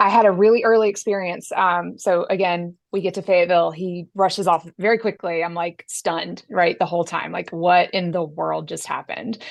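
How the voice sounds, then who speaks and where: With hardly any pauses, a woman talks fairly quickly in an ordinary speaking voice, pitched fairly low. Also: fairly even intonation. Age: 40s. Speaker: military spouse. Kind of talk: roundtable discussion.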